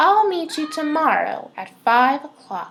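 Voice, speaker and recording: A woman's high-pitched put-on character voice. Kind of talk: bedtime story. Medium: read story. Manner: polite.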